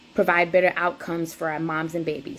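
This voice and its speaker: A woman in a South Carolina Lowcountry accent, fairly low in pitch, with monotone, flat intonation. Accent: Gullah Geechee, Charleston and country. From US South, rural South Carolina (Cross, near Charleston). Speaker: doula and lactation counselor. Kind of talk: presentation. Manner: hesitant, many fillers.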